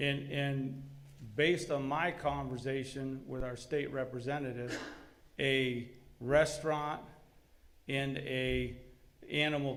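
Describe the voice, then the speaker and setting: Monotone, flat speech from a man with fairly high pitch, at a fairly slow pace and with audible room echo. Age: 60s. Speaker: business owner addressing city board. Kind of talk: public comment at meeting.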